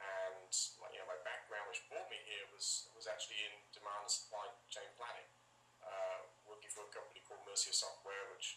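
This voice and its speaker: A man speaks at a fairly quick pace in an English accent, with audible room echo. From England, Northampton. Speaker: sales executive, supply chain. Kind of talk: interview.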